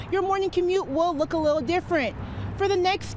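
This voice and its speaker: There is noticeable background noise behind a woman speaking with an American accent. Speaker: television reporter. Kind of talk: TV news reporting, stand-ups and packages.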